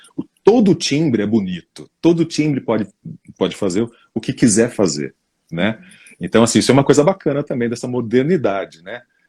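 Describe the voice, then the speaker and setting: A man talks at a moderate pace in a dark, mellow tone, his pitch swinging very widely. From São Paulo state interior, Brazil. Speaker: voice-over narrator. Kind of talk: interview. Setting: live stream.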